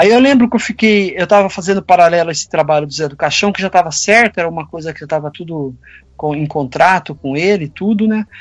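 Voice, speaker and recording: His pitch sits high. This man speaks very fast. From Campinas, São Paulo state, Brazil. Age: 50s. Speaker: sculptor and illustrator. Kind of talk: casual interview chat.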